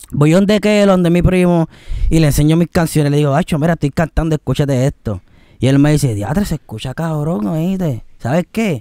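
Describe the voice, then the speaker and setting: Against a quiet background with dry sound and no echo, a man with a dark, mellow tone speaks at a fairly quick pace with lively intonation. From Puerto Rico. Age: 20s. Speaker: singer; guest. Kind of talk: interview. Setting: outdoors. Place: garden. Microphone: studio mic.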